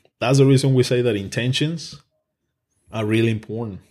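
A man of medium pitch with a strong non-native accent speaks at a moderate pace in a dark, mellow tone with ordinary pitch variation, captured in a very clean recording with a silent background. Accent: thick foreign. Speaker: podcast host. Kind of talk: casual chat. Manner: animated, profane.

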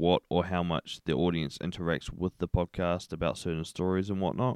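A man talks at a fairly quick pace with a New Zealand accent. His pitch is very deep and low. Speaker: podcast host. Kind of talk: casual solo monologue.

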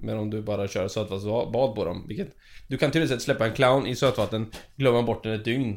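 A plain, everyday voice, this man speaks at a fairly quick pace with a medium pitch and ordinary pitch variation on a very clean recording with a silent background. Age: 30s. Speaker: aquarium keeper. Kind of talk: casual chat. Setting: aquarium facility.

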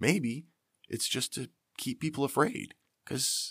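A man with an American accent and vocal fry, recorded very cleanly against a silent background, dry and close with no echo. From Pennsylvania, US. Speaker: podcast host, author and navy veteran. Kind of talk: angry political rant. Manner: indignant, fired-up, fervent; rambling, improvised.

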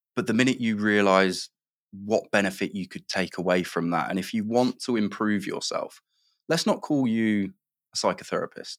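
In a very clean recording with a silent background and a dry, close sound with no echo, a man speaks with an English Midlands accent. His pitch is fairly low, with ordinary variation, at a moderate pace. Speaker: managing director. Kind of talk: interview.

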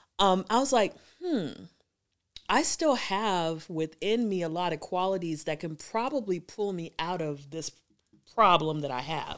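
Lively intonation marks this woman's medium-pitched voice at a fairly slow pace. The recording is very clean, with a silent background. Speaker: poet and educator. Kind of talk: casual interview chat.

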